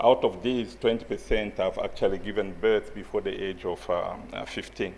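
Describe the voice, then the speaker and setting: This man speaks with a French accent. His pace is moderate. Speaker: conference presenter, researcher. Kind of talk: conference presentation. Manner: hesitant, many fillers.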